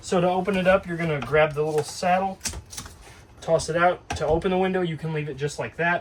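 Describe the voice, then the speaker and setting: This man speaks at a fairly quick pace. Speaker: RV dealership staff giving walkthrough. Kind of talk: tutorial. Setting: inside a travel trailer. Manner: louder to talk over air conditioner.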